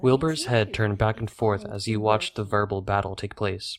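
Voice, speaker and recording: Fairly even intonation marks an unremarkable speaking voice at a fairly quick pace. The background is silent in this very clean recording. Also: man. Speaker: narrator. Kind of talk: audiobook narration.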